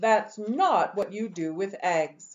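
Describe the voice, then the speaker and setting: Using a put-on character voice, a woman speaks at a medium pitch with ordinary pitch variation. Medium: read story. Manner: scolding, exasperated.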